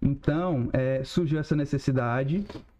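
Fairly high in pitch with ordinary pitch variation, a man speaks slowly-ish, at a fairly slow pace, in a dark, mellow tone. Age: 30s. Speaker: e-commerce business owner. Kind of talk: casual interview.

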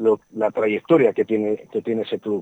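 A man talks in a medium pitch, his pitch varying in an ordinary way. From Spain, Burgos (Castile). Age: 60s. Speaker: agricultural engineer. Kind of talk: radio interview. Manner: halting, many repetitions and fillers.

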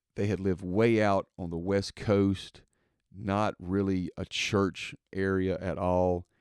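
Speech comes very slowly in a Mississippi accent, monotone and flat. The sound is dry and close with no echo. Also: man, very deep, low pitch for a man. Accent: Southern US (Mississippi). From Mississippi, US South. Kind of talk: casual monologue. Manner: hesitant, many fillers.

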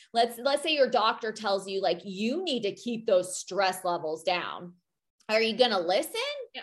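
A woman speaks at a medium pitch and a moderate pace. Her intonation is lively. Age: 40s. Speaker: podcast co-host, former military. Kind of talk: casual chat.

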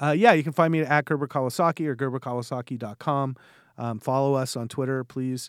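Dry and close with no echo, this very clean recording with a silent background has a man speaking very fast at a medium pitch with a Californian accent. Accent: Californian American. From West Los Angeles, California. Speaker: investment manager. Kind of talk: interview. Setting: in person.

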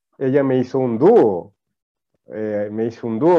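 Here is a man at a medium pitch. His pitch varies in an ordinary way. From Ecuador, Manabí coast. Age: 30s. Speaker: TikTok content creator. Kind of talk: casual interview.

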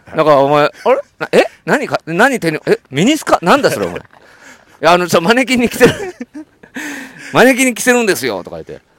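The speaker has an animated tone, very wide pitch swings and big swings in loudness at a fairly quick pace, in a dry, close sound with no echo. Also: man, high pitch for a man. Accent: strong Kansai. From Kansai. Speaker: podcast host. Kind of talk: casual chat. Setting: outdoors on a walk. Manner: animated, frequent laughter.

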